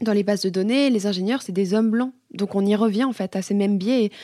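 Fairly high in pitch yet dark and mellow in tone, a woman talks at a fairly quick pace with fairly even intonation. The recording is very clean, dry and close, with no echo and a silent background. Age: 20s. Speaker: student. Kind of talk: interview questions. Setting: studio, office.

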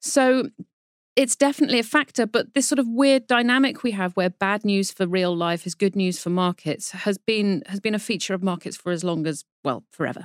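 A woman with a British accent speaks at a fairly quick pace and a medium pitch, her intonation lively, in a very clean recording with a silent background and a dry, close sound with no echo. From Britain. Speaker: financial journalist, markets editor. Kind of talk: explanatory interview discussion. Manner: animated, laughs while talking.

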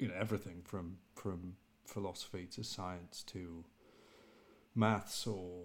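Very slowly, a man speaks with fairly even intonation. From England. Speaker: divinity graduate student and podcaster. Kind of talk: casual chat. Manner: halting, repeats words.

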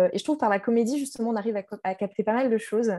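Her voice has a dark, mellow tone, and the speaker is a woman. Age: 30s. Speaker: journalist. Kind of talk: casual discussion.

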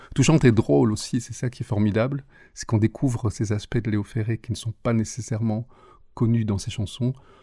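A man with a medium pitch and a dark, mellow tone speaks with ordinary pitch variation in a very clean, dry, close recording with no echo and a silent background. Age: 50s. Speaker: singer and English teacher. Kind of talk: interview. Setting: studio.

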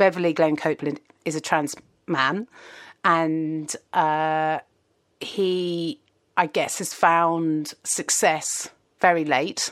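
Very slowly and with long, frequent pauses, a woman with a southern English accent speaks at a very deep, low pitch with fairly even intonation. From southern England, Kingston near London. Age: 40s. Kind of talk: casual chat. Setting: video call.

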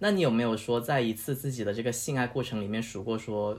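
At a fairly quick pace, a man with an unremarkable speaking voice talks at a medium pitch with fairly even intonation. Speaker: guest host, friend of the host. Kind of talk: casual chat. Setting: home apartment studio, face to face.

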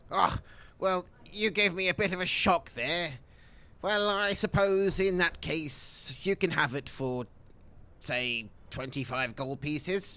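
In a put-on character voice, a man pitches himself high. His delivery comes at a fairly slow pace. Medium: actual play. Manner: cautious, suspicious.

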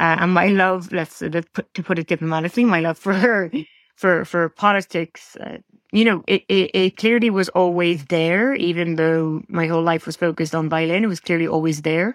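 The speaker has an Irish accent and fairly even intonation. The background is quiet. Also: woman, fairly low pitch for a woman, moderate pace, dry, close sound with no echo. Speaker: diplomacy scholar and former diplomat. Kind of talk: interview conversation. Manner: halting, many restarts.

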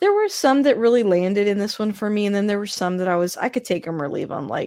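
In a plain, everyday voice, a woman speaks at a medium pitch with lively intonation, recorded very cleanly against a silent background. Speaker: podcast host, guest. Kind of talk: casual chat.

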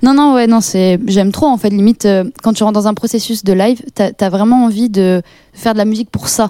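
At a fairly quick pace, a woman speaks with a fairly high pitch, a dark, mellow tone, very even loudness and fairly even intonation. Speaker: rapper and singer. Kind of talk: casual interview. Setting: studio.

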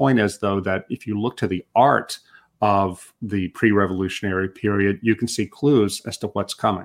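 With an American accent and an unremarkable speaking voice, a man talks at a fairly low pitch and moderate pace with fairly even intonation, in a dry, close sound with no echo. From United States. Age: 50s. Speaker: journalist and author. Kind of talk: interview.

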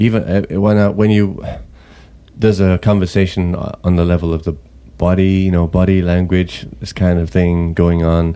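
His voice is very deep and low, delivered in a flat monotone. The man keeps a moderate pace. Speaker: podcast co-host. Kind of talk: casual chat. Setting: studio.

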